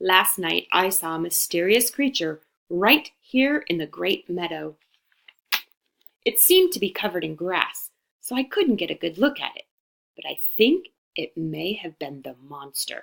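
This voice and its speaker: Putting on a shrill character voice, a woman speaks at a medium pitch and a moderate pace. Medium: read story.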